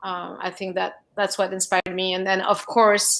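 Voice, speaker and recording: Someone with a French accent speaks in a flat monotone at a moderate pace. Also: woman. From France. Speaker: film producer. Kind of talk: panel discussion.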